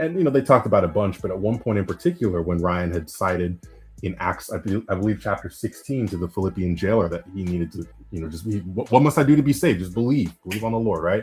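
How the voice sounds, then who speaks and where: A man with a fairly low, somewhat breathy voice speaks at a very fast pace with lively intonation. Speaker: after-show panelist. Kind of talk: casual chat.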